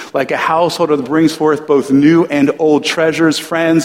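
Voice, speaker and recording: This man talks at a moderate pace in a fairly high pitch, with noticeable background noise around him. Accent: American. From US Northeast, New Jersey. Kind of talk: sermon.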